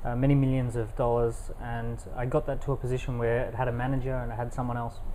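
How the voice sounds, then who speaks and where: With an Australian accent, a man of medium pitch talks at a very fast pace in a monotone, flat intonation, with audible room echo. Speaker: entrepreneur and author. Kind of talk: interview. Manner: fluent, some filler words.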